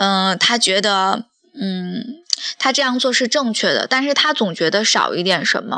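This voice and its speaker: Against a quiet background, a woman speaks at a fairly slow pace in a fairly high, bright and sharp voice, with lively intonation and very even loudness. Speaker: architect and drawing teacher hosting a podcast. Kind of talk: reading aloud an essay, then casual monologue. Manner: frequent filler hesitations.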